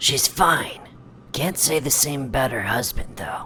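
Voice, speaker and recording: With clear background noise behind him, a man does a raspy cartoonish character voice at a fairly high pitch, ordinary pitch variation and a fairly slow pace. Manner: curt, impatient.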